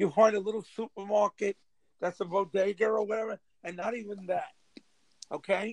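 With a New York accent, a man talks at a high pitch. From New York, Rockaway, Queens. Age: 50s. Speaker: local politician. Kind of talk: casual chat. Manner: animated.

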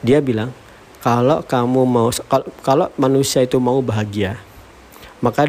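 A man's medium-pitched voice, with fairly level intonation, moves at a moderate speed against noticeable background noise. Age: 40s. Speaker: tech founder and podcaster. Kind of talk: solo monologue podcast. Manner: casual, filler-heavy.

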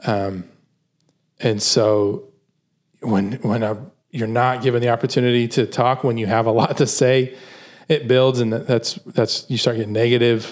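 Over a silent background in a very clean recording, a man keeps his intonation fairly even at a moderate pace, with long, frequent pauses. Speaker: podcast host. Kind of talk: casual chat. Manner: soft-spoken.

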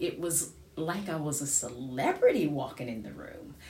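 A woman with an American accent speaks at a very slow pace in a very deep, low voice. Her delivery is somewhat breathy, and audible room echo surrounds it. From United States. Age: 50s. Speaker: podcaster and singer. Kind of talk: personal monologue.

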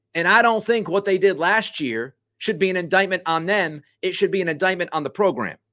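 Captured in a very clean recording with a silent background, a man with a high pitch speaks fairly quickly in a raised, projected voice, animated, bright and sharp in tone, with ordinary pitch variation and hardly any pauses. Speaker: sports talk show host. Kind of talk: sports radio-style commentary; angry rant. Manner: animated, sarcastic, ranting.

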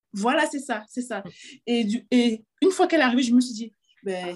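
With lively intonation and a high pitch, a woman is heard in a very clean recording with a silent background. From Cameroon. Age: 30s. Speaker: fashion entrepreneur. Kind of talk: interview. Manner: halting.

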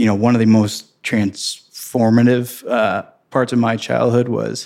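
A man in a Midwestern American accent talks at a fairly slow pace in a medium pitch with ordinary pitch variation. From Missouri, St. Louis area. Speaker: real estate investment executive. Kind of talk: interview.

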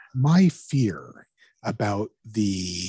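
This man's voice has a dark, mellow tone and is somewhat breathy, recorded with a dry, close sound and no echo. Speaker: podcast host. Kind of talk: casual discussion.

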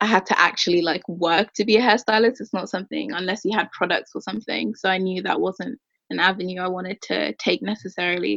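Vocal fry marks a woman's medium-pitched voice as she talks at a fairly quick pace with ordinary pitch variation, the sound dry and close with no echo. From London, then Ireland from age 10. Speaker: entrepreneur, founder of hair and fashion brands. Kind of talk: interview.

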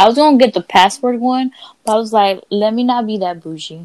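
A woman talks at a very fast pace with ordinary pitch variation, recorded in a dry, close sound with no echo. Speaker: podcast host. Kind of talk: casual chat. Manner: casual, profane.

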